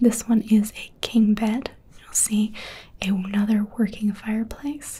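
Somewhat breathy, a woman's dark, mellow voice holds fairly even intonation. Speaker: presenter. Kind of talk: property tour commentary. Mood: warm, admiring. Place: home room.

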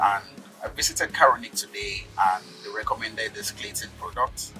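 Faint background music under a man's fairly quick delivery. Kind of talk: testimonial interview talk. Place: car.

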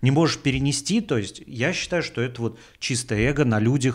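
Ordinary pitch variation marks a man's speech at a moderate pace, with a quiet background. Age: 40s. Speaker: podcast host, comedian. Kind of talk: casual monologue. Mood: ironic, critical, profane. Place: home room. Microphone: studio mic.

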